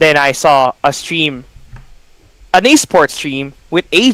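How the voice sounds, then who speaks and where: With a Filipino accent, a man talks in a fairly high pitch with lively intonation and a bright, sharp tone, recorded dry and close with no echo. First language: Tagalog. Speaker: esports caster. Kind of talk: casual chat.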